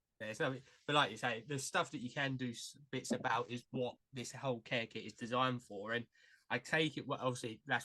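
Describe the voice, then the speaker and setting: Speaking with a British accent, a man talks at a fairly quick pace in a bright, sharp tone. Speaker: podcast host. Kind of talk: interview.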